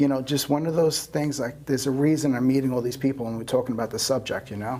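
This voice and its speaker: Speaking at a very fast pace, a man keeps a medium pitch and fairly even intonation. Noticeable background noise is present. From New York. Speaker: astrologer. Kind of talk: interview. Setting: studio.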